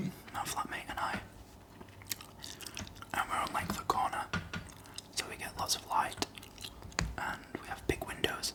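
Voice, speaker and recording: Whispering at a fairly slow pace, the speaker leaves long, frequent pauses and makes big swings in loudness over noticeable background noise. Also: man. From Northern England. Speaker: ASMR creator. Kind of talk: casual ASMR chat to camera. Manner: whispered, soft-spoken.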